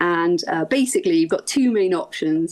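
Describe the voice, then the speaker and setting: On a very clean recording with a silent background, a woman with a South Wales accent speaks with lively intonation. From Wales, Swansea and the Gower. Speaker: ultra runner. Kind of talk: podcast interview.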